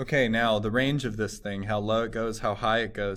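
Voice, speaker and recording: There is audible room echo around a man's fairly low voice. His intonation stays fairly even. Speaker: math teacher. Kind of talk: tutorial.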